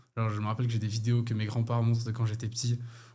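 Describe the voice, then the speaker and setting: An animated, somewhat breathy male voice. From France, Paris region (Hauts-de-Seine). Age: 20s. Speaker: professional American football player. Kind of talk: interview. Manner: casual, animated.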